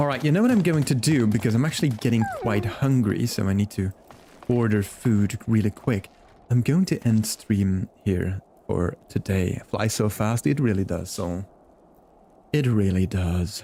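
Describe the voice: Here a man speaks with a fairly low pitch and a dark, mellow tone. His pace is moderate, with ordinary pitch variation.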